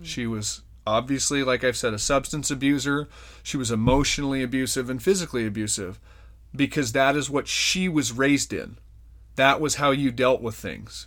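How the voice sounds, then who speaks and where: This is a man with an unremarkable speaking voice, medium in pitch and ordinary in pitch variation. He talks at a moderate pace on a very clean recording with a silent background. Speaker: podcast host. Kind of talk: personal life story in casual chat.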